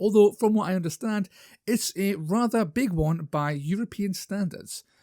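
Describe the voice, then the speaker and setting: A man with a northern English accent at a moderate pace, lively intonation, and a dry, close sound with no echo on a very clean recording with a silent background. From northern England. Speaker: YouTuber, wargaming hobbyist. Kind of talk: casual vlog talk. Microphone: new microphone.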